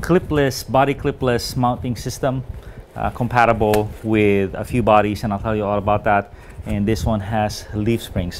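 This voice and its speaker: Light background noise sits behind a man speaking. He keeps a moderate pace with ordinary pitch variation. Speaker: hobby product reviewer. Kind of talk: casual unboxing review. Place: home room. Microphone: lapel.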